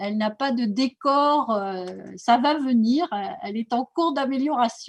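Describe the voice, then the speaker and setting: Her voice is high-pitched, with lively intonation at a fairly slow pace. The woman's sound is dry and close with no echo. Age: 60s. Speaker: naturopathy school director. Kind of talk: presentation. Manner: hesitant, many fillers.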